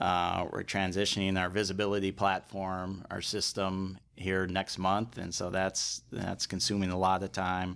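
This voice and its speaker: A man with a very deep, low voice and an American accent speaks at a fairly slow pace in a monotone, flat intonation, with hardly any pauses, in a very clean recording with a silent background. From Chicago, US Midwest. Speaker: restaurant company president. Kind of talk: interview. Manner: halting, many fillers.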